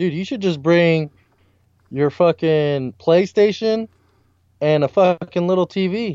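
A man's high voice at a very slow pace, with ordinary pitch variation and long, frequent pauses. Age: 20s. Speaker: podcast co-host. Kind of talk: casual chat. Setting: remote call over internet.

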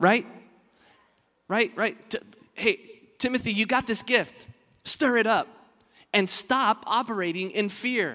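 Using a raised, projected voice, a man with a high pitch and ordinary pitch variation speaks at a fairly slow pace with long, frequent pauses. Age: 30s. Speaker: pastor. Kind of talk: sermon, expository preaching reading and unpacking scripture to a congregation. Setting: church service before live congregation, also streamed. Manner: earnest, building conversational preaching with rhetorical questions; halting, repeats words when starting sentences.

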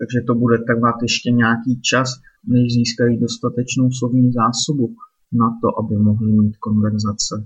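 With medium pitch and a somewhat breathy voice, a man talks at a moderate pace in a monotone, flat intonation at very even loudness. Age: 30s. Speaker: podcaster and Czech language tutor. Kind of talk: solo monologue podcast. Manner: casual.

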